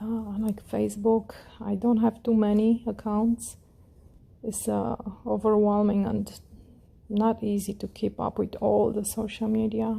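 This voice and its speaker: In a calm, relaxed tone, a woman with a fairly high-pitched, somewhat breathy voice and a dark, mellow tone speaks at a fairly slow pace in monotone, flat intonation, with long, frequent pauses. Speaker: crochet tutorial creator. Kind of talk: tutorial.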